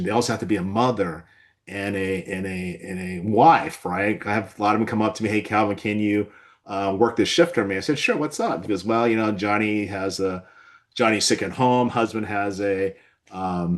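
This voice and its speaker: At a moderate pace, the speaker talks with a Californian accent and ordinary pitch variation. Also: man, fairly low pitch for a man. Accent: General American (Californian). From Southern California. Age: 60s. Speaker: physician and webinar host. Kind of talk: webinar discussion.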